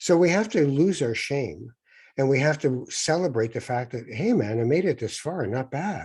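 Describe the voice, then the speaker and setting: A man with a Canadian accent speaks at a moderate pace in a dark, mellow, somewhat breathy tone with lively intonation, in a very clean recording with a silent background. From Canada. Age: 60s. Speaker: author, former broadcaster and spiritual guide. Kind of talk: interview.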